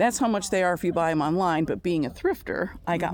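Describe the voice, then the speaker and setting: An ordinary speaking voice, a woman at a fairly low pitch. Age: 60s. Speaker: van camper. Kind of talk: casual chat.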